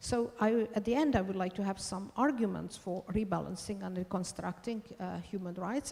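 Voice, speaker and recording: This voice carries a Hungarian accent and vocal fry. The pace is moderate. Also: woman. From Hungary. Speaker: law professor. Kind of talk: conference talk. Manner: halting.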